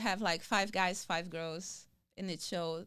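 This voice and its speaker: Someone with a Brazilian accent speaks at a fairly slow pace on a very clean recording with a silent background. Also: woman. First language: Portuguese. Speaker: comedian and actress. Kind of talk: interview answer.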